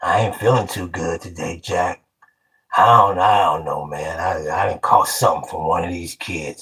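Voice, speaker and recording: A man puts on a character voice, raspy and very deep in pitch. He speaks at a moderate pace. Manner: weak, pretending to be ill.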